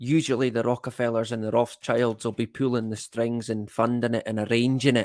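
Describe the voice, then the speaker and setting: Hardly pausing, a man talks at a fairly quick pace in a flat, monotone, medium-pitched voice on a very clean recording with a silent background. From Scotland, Elgin (Moray, north-east). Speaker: live-stream host. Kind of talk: casual live-stream chat reading comments. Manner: slangy, casual; hesitant, many fillers.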